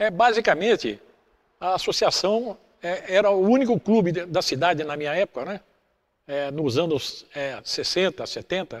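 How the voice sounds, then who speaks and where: A man's high voice at a moderate pace with ordinary pitch variation, in a very clean recording with a silent background. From Brazil, Caçapava (São Paulo state). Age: 70s. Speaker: former club athlete. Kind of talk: documentary testimony. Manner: halting, many fillers.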